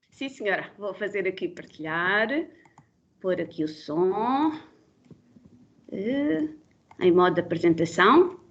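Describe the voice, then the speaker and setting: Pausing long and often, a woman talks in a medium pitch with lively intonation. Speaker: biologist, bat conservation expert. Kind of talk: webinar presentation. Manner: fast; loud, animated.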